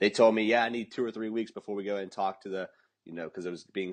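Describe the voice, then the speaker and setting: A man's animated tone at a very fast pace. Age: young. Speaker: fitness entrepreneur podcast co-host. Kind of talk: casual podcast chat.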